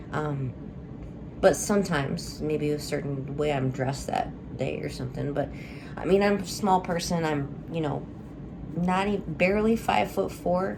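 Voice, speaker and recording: A woman with a very deep, low voice speaks at a moderate pace with lively intonation and long, frequent pauses. Audible room echo and noticeable background noise fill the recording. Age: 30s. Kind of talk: personal video update. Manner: hesitant, many fillers.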